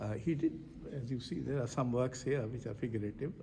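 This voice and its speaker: Speaking at a fairly quick pace, a man uses a dark, mellow tone with vocal fry and ordinary pitch variation. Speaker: poet and foundation director. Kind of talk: interview. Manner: halting.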